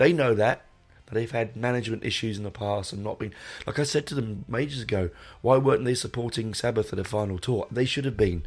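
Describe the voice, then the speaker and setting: A London accent with ordinary pitch variation over music in the background. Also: man, medium pitch for a man, fairly quick pace. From London, England. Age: 40s. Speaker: podcast host, music fan. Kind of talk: casual monologue. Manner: rambling, hesitant.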